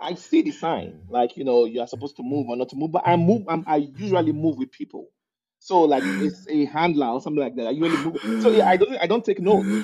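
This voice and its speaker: In a Nigerian accent, the speaker has a dark, mellow tone and very wide pitch swings. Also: man, fairly high pitch for a man, fairly quick pace. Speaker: immigrant guest. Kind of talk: casual interview chat.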